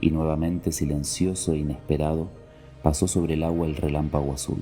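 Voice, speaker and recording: A man's very deep, low voice at a moderate pace with music in the background. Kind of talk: read story. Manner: whispered.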